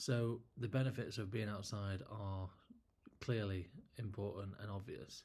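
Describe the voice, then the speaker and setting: In an English accent, a man talks at a fairly low pitch with fairly even intonation. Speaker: landscape photographer. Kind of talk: casual talk to camera. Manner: halting, word-finding pauses.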